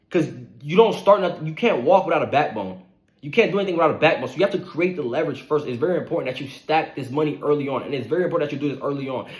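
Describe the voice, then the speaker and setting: At a very fast pace, a man speaks with a fairly high pitch and lively intonation. His loudness swings widely. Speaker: online money motivation creator. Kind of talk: motivational monologue.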